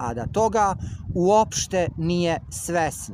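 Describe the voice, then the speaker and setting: A man talks in a high voice, with noticeable background noise. The sound is dry, with no echo. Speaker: vlogger. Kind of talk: casual vlog chat, complaint monologue. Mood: aggrieved, insistent. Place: street. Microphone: phone near.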